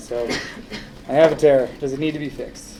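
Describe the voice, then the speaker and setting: Mumbling at a moderate pace with ordinary pitch variation, a man with an American accent is heard through audible room echo and noticeable background noise. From Minnesota, US Midwest. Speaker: orthopedic surgeon. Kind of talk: public talk. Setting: audience in a room. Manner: quiet.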